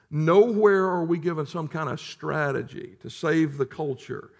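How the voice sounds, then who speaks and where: At a fairly slow pace, a man with a fairly high pitch and ordinary pitch variation speaks in an unremarkable speaking voice. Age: 40s. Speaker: pastor. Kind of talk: sermon.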